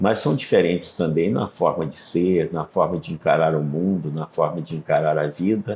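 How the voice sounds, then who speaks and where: At a fairly slow pace, this man talks in a dark, mellow tone. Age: 70s. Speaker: pastor and author. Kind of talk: interview.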